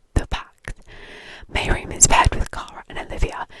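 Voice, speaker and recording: Moderate-paced whispering, noticeable background noise behind it. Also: woman. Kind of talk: reading a book blurb. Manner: whispered.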